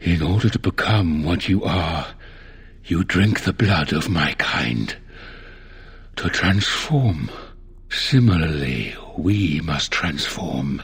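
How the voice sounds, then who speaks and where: Over light background noise, a man uses a put-on character voice with a very deep, low pitch, speaking at a very slow pace with long, frequent pauses. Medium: video game. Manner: calm, measured, formal.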